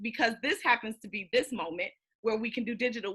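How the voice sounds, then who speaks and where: Bright and sharp in tone, a woman's fairly high voice moves at a fairly quick pace with ordinary pitch variation. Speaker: business coach. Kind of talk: panel talk. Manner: fast.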